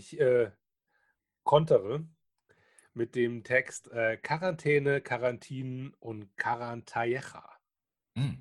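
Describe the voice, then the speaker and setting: The speech moves at a very slow pace with long, frequent pauses. Its intonation is fairly even. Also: man. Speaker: podcast co-host. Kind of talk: casual chat. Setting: remote recording over the internet. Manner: halting, many fillers.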